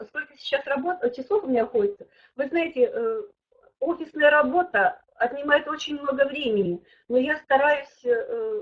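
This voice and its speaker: Very wide pitch swings from a woman at a moderate pace. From Siberia, Russia (Kemerovo). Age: 60s. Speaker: network marketing director. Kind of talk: webinar testimony and Q&A. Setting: online webinar. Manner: hesitant, with fillers and restarts.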